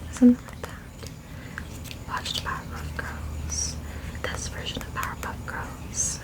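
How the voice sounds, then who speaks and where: Noticeable noise runs in the background. A woman whispers over it. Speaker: ASMR creator. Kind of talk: ASMR makeup show and tell. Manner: soft-spoken, whispered.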